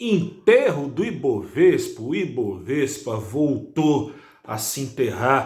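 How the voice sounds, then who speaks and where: Soft-spoken and somewhat breathy, a man talks at a fairly high pitch with lively intonation, and the room echo is audible. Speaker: financial news presenter. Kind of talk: market news commentary. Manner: speaking softly.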